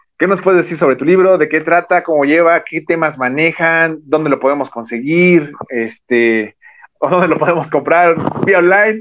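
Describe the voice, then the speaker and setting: A man speaks at a moderate pace with a Mexican accent. His pitch is fairly high, with ordinary variation. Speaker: podcast host. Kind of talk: interview.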